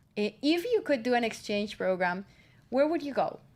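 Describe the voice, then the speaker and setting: A woman with a Spanish accent at a moderate pace. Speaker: student radio host. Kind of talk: casual radio chat.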